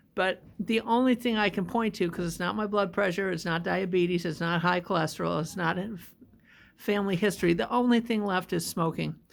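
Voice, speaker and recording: A woman's medium-pitched voice with vocal fry, at a moderate pace. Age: 60s. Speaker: stroke survivor vlogger. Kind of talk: personal vlog testimony. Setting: rehab hospital.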